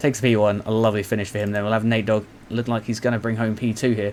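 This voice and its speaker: Talking at a very fast pace, a man with a British accent uses a medium pitch. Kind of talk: live race commentary on a motocross video game. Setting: home recording with a noisy fan. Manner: upbeat, excited, casual, jokey.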